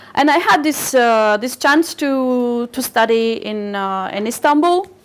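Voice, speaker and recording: Very slowly, a woman with a Turkish accent speaks at a high pitch with ordinary pitch variation. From Bulgaria, Razgrad region, Turkish minority. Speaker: literary agent, speaker. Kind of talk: public talk. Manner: halting, many repetitions.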